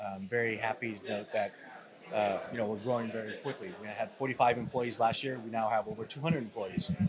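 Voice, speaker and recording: A man talks with a Californian accent. His pace is fairly quick, with ordinary pitch variation. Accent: California. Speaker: company CEO. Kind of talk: interview. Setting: event floor. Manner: hesitant, many fillers.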